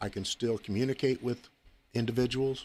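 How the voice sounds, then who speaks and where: In an ordinary speaking voice, a man talks at a medium pitch and a moderate pace. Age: 60s. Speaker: former sheriff. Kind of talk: radio interview. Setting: studio.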